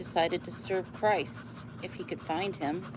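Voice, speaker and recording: Lively intonation marks a woman's fairly low-pitched voice, heard over noticeable background noise. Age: 70s. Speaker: livestreamer reading books aloud. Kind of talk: casual livestream chat; reading aloud with casual asides.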